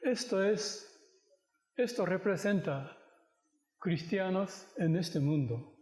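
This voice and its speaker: With audible room echo, a man speaks very slowly in a high voice with lively intonation. He leaves long, frequent pauses. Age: 60s. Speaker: pastor. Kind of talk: sermon. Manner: halting.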